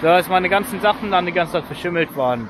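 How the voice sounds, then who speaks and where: Against noticeable background noise, a man with a high pitch speaks in a dry sound with no echo. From northern Germany, Lüneburg Heath; northern Germany. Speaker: hiking vlogger. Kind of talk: vlog narration while hiking. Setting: outdoors. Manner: halting, many fillers. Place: street. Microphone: phone near.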